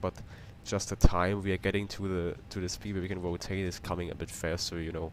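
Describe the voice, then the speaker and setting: The speaker talks in a German accent with monotone, flat intonation. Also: man. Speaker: flight sim streamer. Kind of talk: live stream commentary. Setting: home flight simulator stream. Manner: casual, repetitive, halting.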